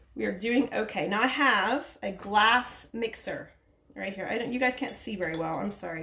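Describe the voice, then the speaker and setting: A woman speaks loudly with an American accent, her bright, sharp tone sitting at a medium pitch. Her pace is moderate and her pitch varies in an ordinary way. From US, Oklahoma. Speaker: aromatherapy trainee. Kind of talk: live-stream tutorial. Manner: casual, halting.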